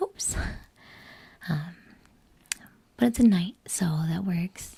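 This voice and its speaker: The speaker is soft-spoken and talks at a very slow pace. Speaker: collector, cosplayer. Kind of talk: ASMR unboxing, soft-spoken talk to camera. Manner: soft, toned down.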